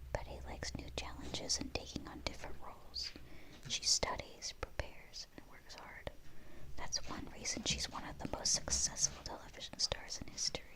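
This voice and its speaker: Someone whispers in a gentle tone over noticeable background noise. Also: moderate pace. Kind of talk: whispered bedtime storybook reading, ASMR. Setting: studio, quiet close-mic recording. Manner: whispered, soft, gentle.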